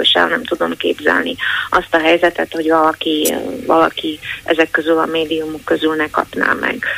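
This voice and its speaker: A woman's voice with noticeable background noise. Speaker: newspaper editor-in-chief. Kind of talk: interview.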